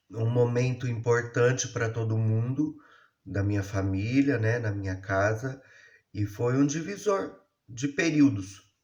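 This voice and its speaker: A man speaks in a somewhat breathy voice. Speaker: YouTuber telling his life story. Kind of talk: personal storytelling monologue. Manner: casual, conversational.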